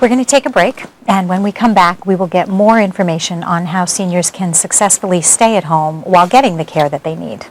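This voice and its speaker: The speaker talks at a fairly quick pace against noticeable background noise. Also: woman, medium pitch for a woman, ordinary pitch variation. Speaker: TV show co-host, professor. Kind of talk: TV talk show hosting.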